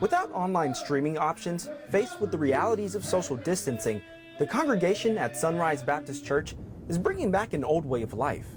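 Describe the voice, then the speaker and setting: Music plays in the background. A man talks at a fairly quick pace and high pitch, with very wide pitch swings. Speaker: TV news reporter. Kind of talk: TV news report.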